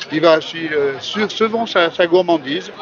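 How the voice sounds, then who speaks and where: A man talks at a moderate pace while music runs in the background. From France, Beaujolais. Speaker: restaurant chef. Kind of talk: interview at outdoor festival.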